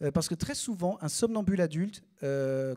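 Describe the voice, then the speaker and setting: The sound is dry and close with no echo. A man talks at a high pitch with ordinary pitch variation. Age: 30s. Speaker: comedian. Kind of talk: stand-up. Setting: stage with audience. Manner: animated.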